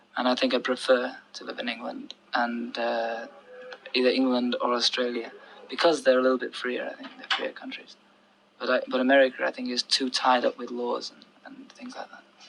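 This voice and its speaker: Against noticeable background noise, a man talks at a moderate pace with big swings in loudness. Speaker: pop singer. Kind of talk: interview answer. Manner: soft-spoken.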